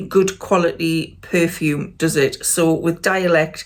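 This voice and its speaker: A woman with a Geordie accent. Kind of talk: casual talk to camera.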